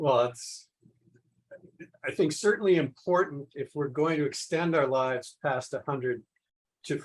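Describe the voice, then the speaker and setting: Man with an American accent and fairly high pitch, at a moderate pace broken by long, frequent pauses. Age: 60s. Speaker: polymath, environmental scientist. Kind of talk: podcast interview.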